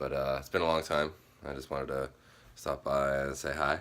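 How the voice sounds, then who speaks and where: Using a raspy, put-on character voice, a man talks at a fairly quick pace with a very deep, low pitch and monotone, flat intonation. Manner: sleepy, low energy.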